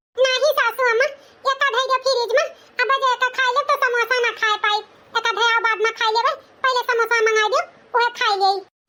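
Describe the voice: In a cartoonish character voice, a woman squeaks at an extremely high pitch and a fairly quick pace, her intonation fairly even and her loudness very even.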